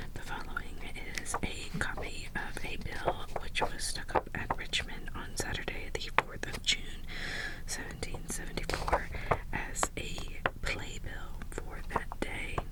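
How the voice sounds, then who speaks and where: Over noticeable background noise, a woman whispers, taking a fairly slow pace. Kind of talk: ASMR roleplay reading old papers aloud. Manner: soft-spoken, whispering.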